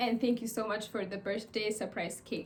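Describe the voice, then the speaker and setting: Delivered at a fairly quick pace, the speech has monotone, flat intonation over noticeable background noise. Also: woman. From Ethiopia. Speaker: student. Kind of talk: casual chat.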